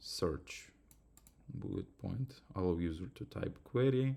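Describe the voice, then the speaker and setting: Speaking very slowly, this man has a non-native accent and a dark, mellow tone. His pitch swings very widely. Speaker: student. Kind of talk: tutorial. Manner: halting.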